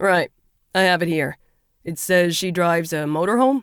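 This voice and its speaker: A man performs a put-on character voice at a high pitch. The sound is dry and close with no echo. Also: moderate pace. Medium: read story. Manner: dismissive, flat.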